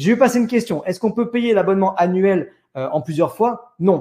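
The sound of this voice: The man's voice is high-pitched with a dark, mellow tone and a slightly husky edge, moving at a fairly quick pace with lively intonation.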